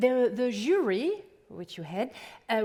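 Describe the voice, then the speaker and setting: A woman speaks with a French accent at a high pitch. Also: very clean recording, silent background. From France. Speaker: event moderator. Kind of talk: stage moderation.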